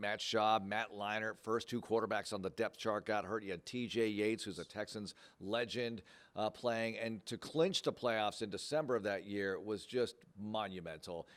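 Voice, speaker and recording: At a moderate pace, a man with a plain, everyday voice speaks with fairly low pitch and fairly even intonation. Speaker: radio play-by-play announcer for a pro football team. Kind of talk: interview answer.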